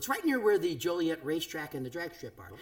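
With very wide pitch swings, a man speaks at a very fast pace. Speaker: podcast host, former radio DJ. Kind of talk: casual chat. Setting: home studio.

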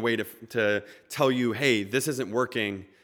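Moderate pace and ordinary pitch variation in a normal speaking voice, on a very clean recording with a silent background. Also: man. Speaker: spoken word poet and storyteller. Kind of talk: live personal storytelling. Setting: stage with audience.

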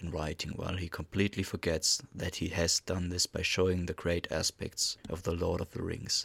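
A man's very deep, low voice with a non-native accent, bright and sharp in tone, flat and monotone, at a moderate pace, on a very clean, dry, close recording with no echo and a silent background. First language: not English. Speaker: podcast host. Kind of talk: monologue commentary. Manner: formal.

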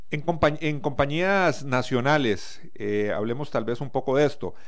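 Speaking at a fairly slow pace, a man with a fairly high pitch uses lively intonation while audible room echo surrounds his voice. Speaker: radio host. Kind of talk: interview.

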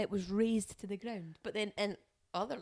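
A woman talks with an Edinburgh accent at a fairly high pitch. Her intonation stays fairly even. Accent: Scottish, Edinburgh area. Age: 30s. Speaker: podcast co-host. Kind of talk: casual chat.

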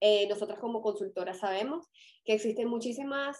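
A woman with a Venezuelan accent speaks with ordinary pitch variation. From Venezuela (Caracas). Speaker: fashion consultant and podcast co-host. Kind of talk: casual chat.

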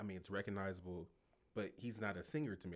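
Speaking very fast, this man has a fairly low pitch. His words tumble out quickly. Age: 40s. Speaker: podcast co-host. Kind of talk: casual chat.

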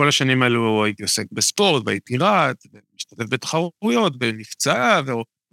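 A man with a medium pitch and a bright, sharp tone speaks at a moderate pace with lively intonation. The recording is very clean, dry and close, with no echo and a silent background. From Israel, Haifa bay area (Kiryat Bialik). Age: 40s. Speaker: physiotherapist. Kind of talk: interview, casual conversation.

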